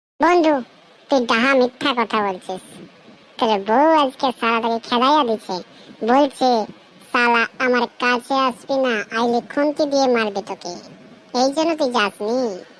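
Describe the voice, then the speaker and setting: A woman uses a cartoonish character voice pitched high. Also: moderate pace, ordinary pitch variation. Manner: cocky, swearing slang.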